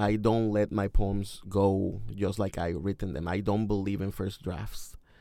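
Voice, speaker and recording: A man with a Mexican accent speaks at a fairly slow pace and fairly low pitch. His tone is dark and mellow, and the recording is very clean with a silent background. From Mexico. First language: Spanish. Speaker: poet and high school English teacher. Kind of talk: interview. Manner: hesitant, with fillers.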